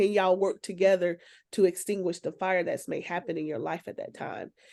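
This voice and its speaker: A woman's animated tone at a moderate pace over a quiet background. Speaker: talk show host. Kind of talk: casual group discussion. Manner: loud.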